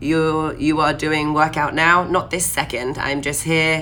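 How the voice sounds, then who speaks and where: Speaking at a moderate pace, a woman uses a very deep, low pitch and an animated tone. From southern England. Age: 20s. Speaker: fitness coach. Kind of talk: live stream Q&A.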